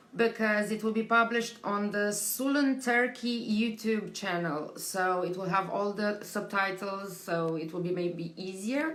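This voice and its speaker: A woman with a Romanian accent speaks fairly slowly at a medium pitch with ordinary pitch variation, audible room echo around her. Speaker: tattoo convention team member hosting interviews. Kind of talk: live stream chat to viewers. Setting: home live stream during quarantine. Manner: halting, many fillers.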